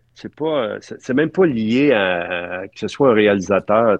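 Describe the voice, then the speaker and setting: In a Quebec accent, the speaker goes at a very slow pace with ordinary pitch variation. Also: man. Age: 60s. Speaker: film art director. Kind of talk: interview. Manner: halting.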